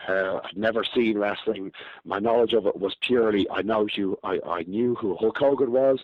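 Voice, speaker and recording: At a moderate pace, a man speaks in a Dublin accent. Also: medium pitch for a man, fairly even intonation. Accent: Irish (Dublin). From Ireland, Dublin. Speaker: professional wrestler. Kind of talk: podcast interview.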